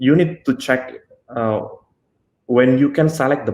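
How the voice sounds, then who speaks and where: A man speaks with an Indonesian accent at a medium pitch. His pitch varies in an ordinary way. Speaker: software engineer. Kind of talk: technical talk. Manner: halting, many fillers.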